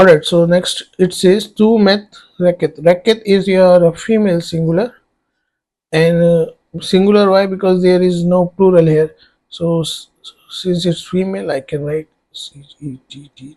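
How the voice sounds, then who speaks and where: A man's high-pitched voice in an Indian accent, dark and mellow in tone, with fairly even intonation and a fairly slow pace. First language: Hindi. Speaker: online tutor. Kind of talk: tutorial. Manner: hesitant, many fillers.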